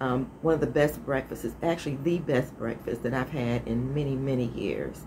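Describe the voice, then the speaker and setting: A woman speaks with a very deep, low pitch. Noticeable background noise sits behind her voice. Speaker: vlogger. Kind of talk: casual vlog chat. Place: home room. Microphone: phone near.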